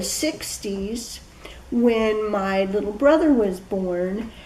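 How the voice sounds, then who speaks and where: Woman with an American accent at a very slow pace with ordinary pitch variation, amid noticeable background noise and audible room echo. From US Midwest, Peoria, Illinois. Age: 60s. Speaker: local history interviewee. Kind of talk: oral history interview.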